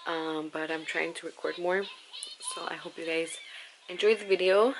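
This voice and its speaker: The speech moves at a moderate pace against light background noise. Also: woman. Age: 20s. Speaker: vlogger, young mother. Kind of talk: casual talk to camera. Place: home room. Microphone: phone near.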